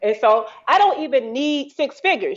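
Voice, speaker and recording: In a Southern US accent, a woman sounds animated, her pitch swinging very widely. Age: 40s. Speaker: entrepreneur. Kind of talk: casual chat.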